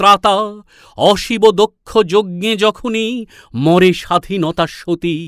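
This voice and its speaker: A man's high voice with fairly even intonation, dry and close with no echo, on a very clean recording with a silent background. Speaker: reciter. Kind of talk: poetry reading. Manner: rousing, declamatory.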